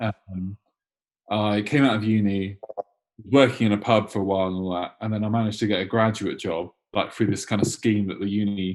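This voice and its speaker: Fairly low in pitch, a man with a London accent talks at a fairly quick pace. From London (Enfield), England. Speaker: punk band guitarist. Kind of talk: casual interview chat. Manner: halting, lots of fillers and restarts.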